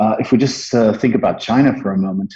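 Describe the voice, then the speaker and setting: A man with a Dutch accent, medium pitch, ordinary pitch variation and a fairly quick pace. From Netherlands. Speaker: marketing agency partner. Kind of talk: interview. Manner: halting, many filler words.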